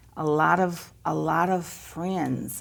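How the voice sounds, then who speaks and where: A woman with an American accent has a very deep, low pitch. Vocal fry colors her speech. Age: 60s. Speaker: local business family member. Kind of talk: interview on live local TV.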